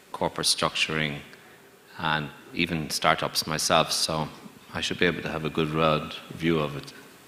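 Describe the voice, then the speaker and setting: Very deep and low in pitch, a man speaks in a monotone, flat intonation at a moderate pace amid noticeable background noise. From Ireland. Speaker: banker. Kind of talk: panel discussion.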